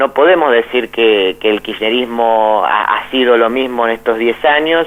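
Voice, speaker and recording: A man with a medium-pitched voice and ordinary pitch variation talks fairly slowly against noticeable background noise. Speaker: philosophy professor and author. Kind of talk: radio interview. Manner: halting, many repetitions.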